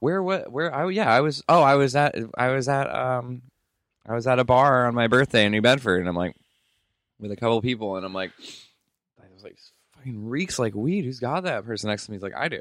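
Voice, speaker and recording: A man at medium pitch with lively intonation, a fairly quick pace, long, frequent pauses and big swings in loudness. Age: 30s. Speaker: podcast co-host. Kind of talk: casual chat.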